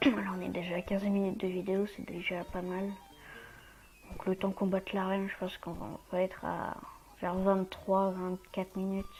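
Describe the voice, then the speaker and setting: A woman's medium-pitched, monotone, flat voice with long, frequent pauses and noticeable background noise. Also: moderate pace. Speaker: video game let's player. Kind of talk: gameplay commentary. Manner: hesitant, many fillers.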